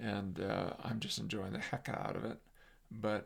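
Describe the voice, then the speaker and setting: This man talks at a moderate pace with an American accent. His pitch is fairly low, with vocal fry. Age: 70s. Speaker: psychologist and workshop presenter. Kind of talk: casual monologue. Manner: halting, many fillers; animated.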